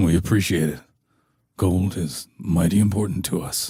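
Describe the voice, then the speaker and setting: Putting on a character voice, a man speaks at a moderate pace with a rumbling, very deep, low pitch and ordinary pitch variation. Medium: read story.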